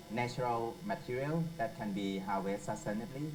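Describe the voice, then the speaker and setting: The pitch swings very widely at a moderate pace. There is audible room echo and noticeable background noise. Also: man. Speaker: environmental entrepreneur. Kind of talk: panel presentation. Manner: halting.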